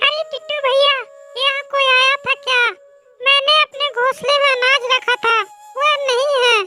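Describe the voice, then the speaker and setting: A cartoonish character voice from a woman, extremely high in pitch and monotone and flat, at a moderate pace with music in the background. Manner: polite, gentle.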